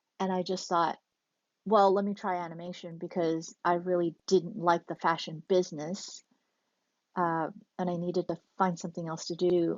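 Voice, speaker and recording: A woman with an American accent, fairly low pitch, fairly slow pace and monotone, flat intonation. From Taiwan, then US from about age nine. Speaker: animation director and producer. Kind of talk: interview.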